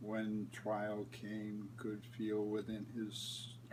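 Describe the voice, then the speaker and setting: Very slowly and in a monotone, flat voice, a man speaks over noticeable background noise. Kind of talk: poetry reading.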